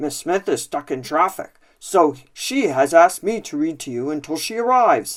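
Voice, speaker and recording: In a very clean recording over a silent background, a man puts on a high-pitched character voice with very wide pitch swings and hardly any pauses. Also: moderate pace. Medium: read story.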